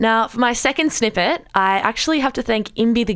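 With lively intonation and a fairly quick pace, a woman is captured on a very clean recording with a silent background. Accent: Australian. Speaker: radio podcast host. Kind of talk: casual chat. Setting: studio.

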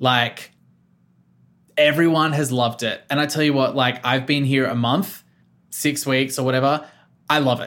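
Speaking with an Australian accent, a man with a fairly high pitch and monotone, flat intonation keeps a moderate pace with long, frequent pauses, on a very clean recording with a silent background. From Australia, Victoria South Coast. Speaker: radio producer. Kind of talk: casual interview.

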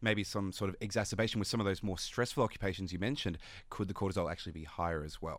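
Talking at a very fast pace, a man with an Australian accent uses a fairly low pitch and ordinary pitch variation. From Sydney, Australia. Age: 20s. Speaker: neuroscience PhD candidate. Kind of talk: radio interview.

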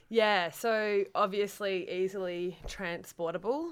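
A woman talks with an Australian accent. Music plays in the background. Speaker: cook. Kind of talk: interview.

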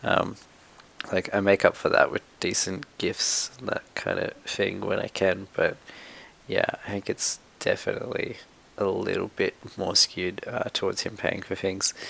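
Talking fairly slowly, a man speaks in an Australian accent. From Sydney, Australia. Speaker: media producer. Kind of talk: recorded personal testimony.

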